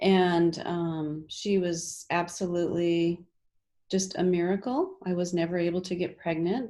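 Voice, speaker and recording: A woman speaks at a fairly slow pace with a fairly low pitch and a dark, mellow tone. The recording is very clean, with a silent background. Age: 60s. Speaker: alternative health practitioner. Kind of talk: interview.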